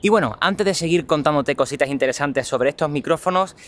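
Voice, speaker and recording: In an Andalusian accent, a man speaks with an animated tone and lively intonation. His pitch sits fairly high. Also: very clean recording, silent background. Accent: Andalusian (Cádiz). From southern Spain, Cádiz. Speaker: tech vlogger. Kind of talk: vlog product review. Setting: outdoors walking, then cafe.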